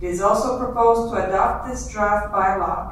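Strong room echo with light background noise. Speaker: council presenter. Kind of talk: formal reading of council motions. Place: hall.

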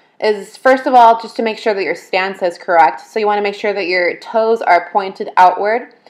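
A woman with a normal speaking voice and fairly high pitch talks at a moderate pace with ordinary pitch variation. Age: 20s. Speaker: fitness vlogger. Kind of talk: casual talk to camera.

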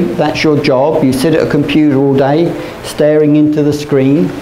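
Audible room echo surrounds the voice. Light background noise is also present. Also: man. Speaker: teacher. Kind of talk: lecture. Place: classroom. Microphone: camera far.

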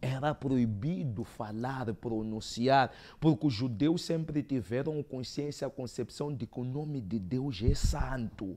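This man has a dark, mellow tone and a medium pitch with ordinary pitch variation. He speaks at a very slow pace. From Mozambique. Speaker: theologian; guest. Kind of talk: debate. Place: studio. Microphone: lapel.

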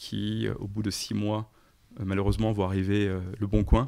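A man speaks at a moderate pace and a fairly low pitch, in an unremarkable speaking voice. The recording is very clean, with a silent background. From eastern France, countryside. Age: 40s. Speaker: startup founder and CEO. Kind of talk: interview.

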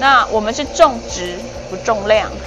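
A woman talks while faint music sounds in the background. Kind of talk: interview answer. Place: workshop. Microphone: lapel.

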